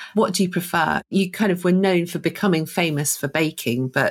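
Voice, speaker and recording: A fairly quick, somewhat breathy woman's voice, fairly low in pitch with ordinary pitch variation. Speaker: co-host. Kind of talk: casual interview chat.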